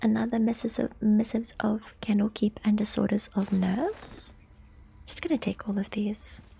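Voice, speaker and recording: The speaker is soft-spoken, keeping a moderate pace. Noticeable background noise runs underneath. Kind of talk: casual gameplay commentary.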